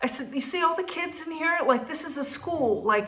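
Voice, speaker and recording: A woman talks at a very fast pace with an animated tone. Noticeable background noise sits behind her. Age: 50s. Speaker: restaurant owner and vlogger. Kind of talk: casual storytelling vlog.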